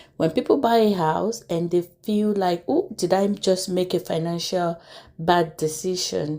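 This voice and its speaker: At a fairly slow pace, a woman speaks with a dark, mellow tone, a medium pitch and ordinary pitch variation. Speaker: YouTube commentary host. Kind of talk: casual commentary.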